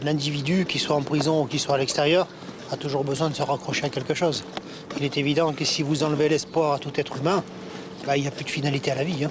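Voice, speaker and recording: A man's fairly high voice, flat and monotone, racing along very fast over noticeable background noise. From French Caribbean island. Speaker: prisoner. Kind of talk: interview.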